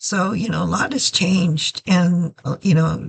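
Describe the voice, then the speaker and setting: At a very slow pace, a woman with a fairly low pitch speaks with vocal fry. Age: 70s. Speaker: video blogger with glaucoma. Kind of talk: personal vlog. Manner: halting.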